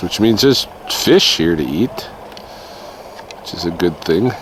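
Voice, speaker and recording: Noticeable background noise sits behind a man's speech. His voice is very deep and low in pitch, with lively intonation. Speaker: nature vlogger. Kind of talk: outdoor walking vlog narration. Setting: outdoors in a park, snowing. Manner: casual, conversational; too loud, then quieter.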